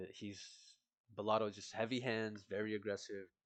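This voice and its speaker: A man with a fairly low voice speaks at a fairly quick pace. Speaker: MMA prediction youtuber. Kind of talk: casual fight breakdown monologue. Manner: halting, self-correcting; casual, informal.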